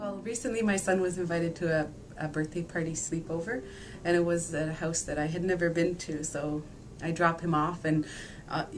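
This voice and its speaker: Against noticeable background noise, a woman with fairly low pitch speaks at a fairly quick pace with fairly even intonation. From Nain, Labrador, Canada. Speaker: interviewee. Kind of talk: interview answer.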